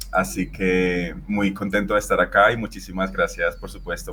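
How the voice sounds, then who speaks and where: A man speaks at a moderate pace. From Venezuela. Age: 30s. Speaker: fashion photographer. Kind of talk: interview conversation. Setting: podcast.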